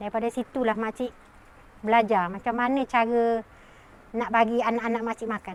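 A woman with a fairly high pitch speaks at a moderate pace in a flat, monotone way, leaving long, frequent pauses. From Malaysia, Selangor (Tanjung Karang). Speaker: pandan farmer. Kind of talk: personal testimony interview.

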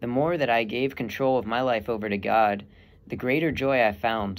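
Here a man speaks at a medium pitch. His pace is fairly quick. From Texas. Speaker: seminarian; young man discerning priesthood. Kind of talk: testimony. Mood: calm, sincere, reflective. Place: home room. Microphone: earbuds.

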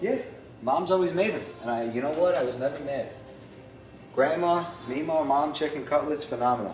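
Through light background noise and audible room echo, a man speaks at a very fast pace. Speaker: home cook vlogger. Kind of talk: casual cooking tutorial chat. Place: kitchen.

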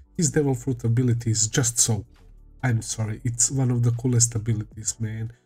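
Faint music plays in the background. The intonation is monotone and flat. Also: man. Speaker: anime reaction youtuber. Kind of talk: casual vlog chat. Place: home room. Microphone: headset.

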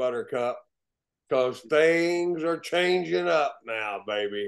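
There is a quiet background as a man speaks at a fairly slow pace. His intonation is lively. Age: 60s. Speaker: actor. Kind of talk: interview. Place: home room. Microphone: video call.

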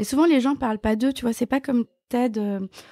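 A woman's dark, mellow tone with ordinary pitch variation, dry and close with no echo, on a very clean recording with a silent background. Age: 50s. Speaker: journalist and live event founder. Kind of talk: interview.

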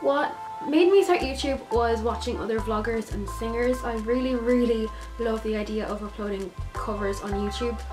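A woman with an Irish accent talks at a moderate pace over clear music in the background. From Ireland. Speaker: vlogger. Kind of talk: casual talk to camera. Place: home room. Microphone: phone near.

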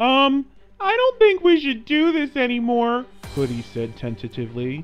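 At a moderate pace and a fairly high pitch, the speaker performs a put-on character voice over faint music in the background. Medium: read story. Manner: tentative, frightened.

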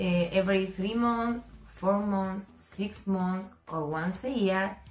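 A woman speaks at a very slow pace. Faint music plays in the background, and there is audible room echo. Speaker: skincare creator. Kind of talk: tutorial. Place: shop. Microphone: camera far.

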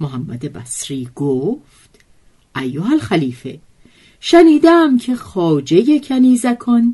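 Very slowly, a woman speaks in a dark, mellow tone with very wide pitch swings. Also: quiet background. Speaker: storyteller narrator. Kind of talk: literary storytelling reading.

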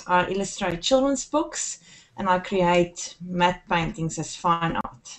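A woman's very slow speech with lively intonation. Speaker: guest. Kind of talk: interview answer. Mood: friendly, smiling. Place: home room. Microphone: webcam.

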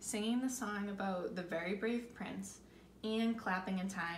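Someone reads out loud, the voice sounding natural.

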